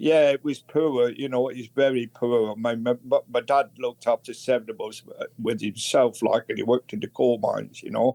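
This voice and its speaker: A man with a northern English accent speaks at a moderate pace and medium pitch, barely pausing. His tone is dark and mellow, and his pitch varies in an ordinary way. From northern England, Bolton near Manchester. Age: 80s+. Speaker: recovering alcoholic. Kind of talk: interview testimony. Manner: halting.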